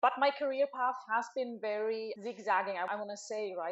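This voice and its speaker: With a German accent, this woman is talking. The way her voice rises and falls stays fairly even. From Germany. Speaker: business consultant. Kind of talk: webinar panel introduction.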